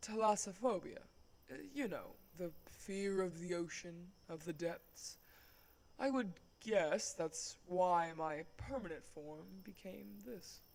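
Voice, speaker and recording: A put-on character voice at a middle pitch moves at a fairly slow pace with long, frequent pauses. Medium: audio drama. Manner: polite, soft-spoken, dryly humorous.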